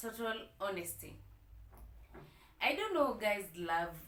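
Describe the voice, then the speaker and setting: A woman's medium-pitched voice with vocal fry, lively intonation and a fairly slow pace, plus audible room echo. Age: 30s. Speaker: vlogger. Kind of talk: personal storytime vlog. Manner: hesitant, many fillers.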